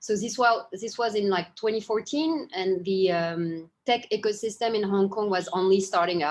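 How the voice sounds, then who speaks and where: A woman speaks with a French accent at a medium pitch and ordinary pitch variation. Her pace is moderate, with hardly any pauses. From Japan, French family. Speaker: startup founder and CEO. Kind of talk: interview. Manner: hesitant, many fillers.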